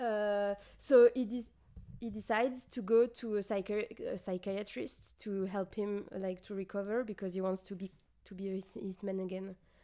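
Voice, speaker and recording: A woman with a French accent speaks at a medium pitch and a moderate pace. Her tone is dark and mellow, and her intonation is fairly even. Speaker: streamer. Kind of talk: casual chat. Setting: livestream. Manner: halting.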